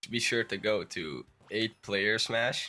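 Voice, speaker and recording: The speaker is a man. He talks with a Dutch accent. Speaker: gaming YouTuber. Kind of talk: tutorial. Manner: halting.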